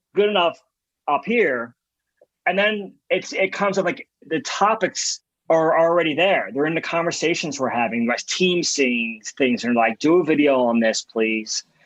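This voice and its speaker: Animated in tone, a man with a fairly high voice moves at a moderate pace through very wide pitch swings while his loudness stays very even. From US Northeast (Philadelphia, Southwest Philly). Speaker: design agency founder. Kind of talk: interview.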